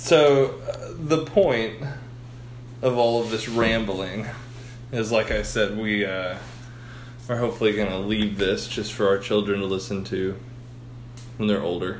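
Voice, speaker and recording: A man with an American accent, fairly low pitch and ordinary pitch variation, at a fairly slow pace with long, frequent pauses, plus audible room echo and noticeable background noise. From Texas, Houston area. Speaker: podcast host. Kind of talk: casual chat.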